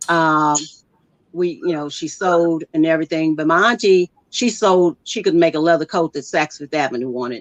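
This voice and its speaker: In a dry, close sound with no echo, a woman with a normal speaking voice, a fairly low pitch, ordinary pitch variation and an American accent talks. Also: moderate pace. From US Midwest, Kansas City. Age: 60s. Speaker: farmer and veteran. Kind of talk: interview. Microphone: using phone.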